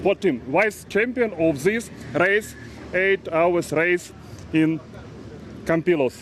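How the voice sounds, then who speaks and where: Speaking at a very slow pace with long, frequent pauses, a man with a Russian accent and high pitch keeps very even loudness and ordinary pitch variation against noticeable background noise. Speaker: karting team member. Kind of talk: live interview. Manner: halting, many hesitations.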